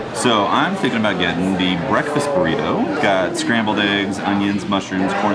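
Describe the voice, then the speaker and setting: Crowd noise can be heard behind a man who talks at a moderate pace. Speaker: vlogger. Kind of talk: casual vlog chat. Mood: cheerful, excited about food. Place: cafe. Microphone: camera far.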